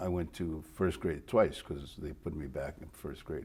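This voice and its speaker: At a moderate pace, the speech carries a dark, mellow tone and shifts in pitch in an ordinary way. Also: man. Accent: Spanish. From Mexico, raised in El Paso, Texas. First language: Spanish. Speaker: retired TV news reporter. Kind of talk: interview. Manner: halting, repeats words.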